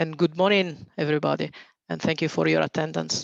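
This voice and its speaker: A man talks with an Italian accent against a quiet background. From Italy. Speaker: reinsurance executive. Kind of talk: webinar presentation.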